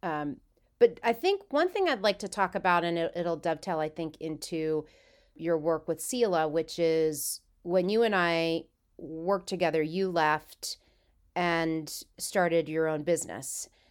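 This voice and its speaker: Talking at a fairly slow pace, a woman uses an unremarkable speaking voice, fairly low in pitch with ordinary pitch variation. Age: 50s. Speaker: podcast host. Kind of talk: casual interview conversation.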